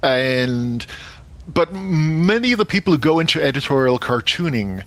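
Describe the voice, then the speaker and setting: The intonation is lively and full of movement. Noticeable background noise runs underneath. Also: man. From England, born in Manchester, schooled in Somerset. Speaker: cartoonist and game designer. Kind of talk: interview. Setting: remote video call.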